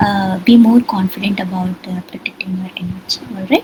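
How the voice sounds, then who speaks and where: A soft-spoken woman at a medium pitch and moderate pace, ordinary pitch variation, noticeable background noise. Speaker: psychologist leading a workshop. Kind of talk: online workshop. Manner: hesitant, many fillers. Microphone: too quiet at first.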